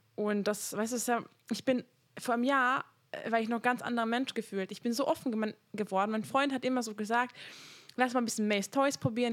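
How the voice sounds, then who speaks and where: A woman with a normal speaking voice talks at a fairly quick pace. Her pitch is fairly high with ordinary pitch variation. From Hungary. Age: 20s. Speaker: podcast host. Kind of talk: casual chat.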